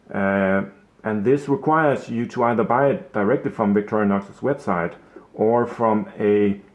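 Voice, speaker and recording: With a Danish accent, a man speaks at a moderate pace and fairly low pitch with ordinary pitch variation. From Denmark. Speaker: watch hobbyist YouTuber. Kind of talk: casual product video. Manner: halting, many fillers.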